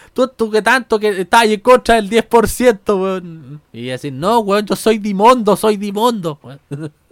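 A man speaks very slowly in a Chilean accent at a high pitch, with hardly any pauses. The sound is dry and close, with no echo. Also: lively intonation. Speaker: podcast host. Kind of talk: casual comedic monologue. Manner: animated.

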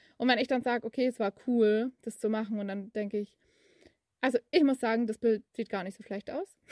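In a dry, close sound with no echo, a woman speaks at a fairly high pitch with fairly even intonation. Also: fairly quick pace. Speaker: podcaster. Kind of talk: casual monologue. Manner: hesitant, with many fillers and laughs.

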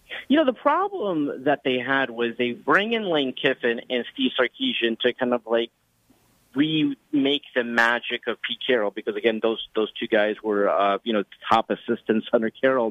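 A man's normal speaking voice with an American accent, medium pitch, ordinary pitch variation and a moderate pace. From Los Angeles. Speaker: sports radio host. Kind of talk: casual chat.

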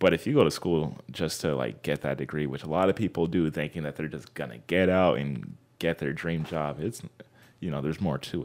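Speaking at a fairly quick pace with an American accent, a man with a very deep, low pitch shows vocal fry and ordinary pitch variation, recorded very cleanly against a silent background. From Southern California, Anaheim area. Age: 20s. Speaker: podcast guest, vegan. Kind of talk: casual chat.

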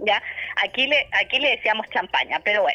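This is a woman speaking. Noticeable background noise runs behind her. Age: 40s. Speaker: journalist and wine writer. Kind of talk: radio interview.

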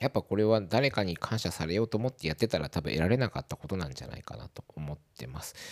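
Very fast and with hardly any pauses, a man speaks in a very deep, low voice with vocal fry, very wide pitch swings, and big swings in loudness, in a dry, close sound with no echo. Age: 40s. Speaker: podcast host. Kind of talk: casual monologue. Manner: hesitant, many fillers.

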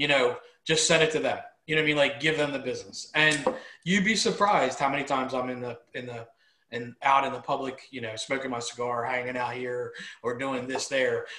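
A man talks at a fairly quick pace with ordinary pitch variation. He has a plain, everyday voice. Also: fairly high pitch for a man. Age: 40s. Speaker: business owner and co-host. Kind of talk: casual chat.

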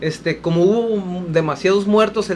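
A man is speaking. Noticeable background noise runs beneath him. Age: 40s. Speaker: radio co-host. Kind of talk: casual radio chat.

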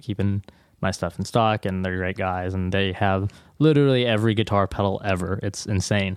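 A man with an American accent and a normal speaking voice, fairly low in pitch, at a fairly quick pace, on a very clean recording with a silent background. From US Pacific Northwest, Seattle area. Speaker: guitar pedal builder. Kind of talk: casual interview.

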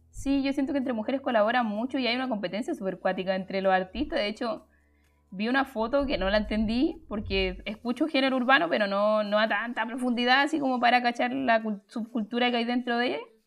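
Over music in the background, a woman talks at a fairly quick pace in a high pitch with ordinary pitch variation. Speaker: music teacher and podcast host. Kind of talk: livestreamed podcast talk. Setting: live stream.

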